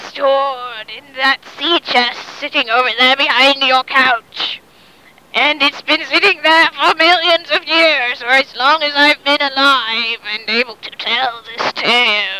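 A put-on character voice, raspy and high-pitched. It moves at a fairly slow pace.

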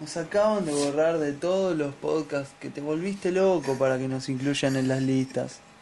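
Noticeable background noise underlies a man with a fairly high pitch and ordinary pitch variation. He speaks at a moderate pace with hardly any pauses. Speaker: podcast co-host. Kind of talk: casual chat. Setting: studio.

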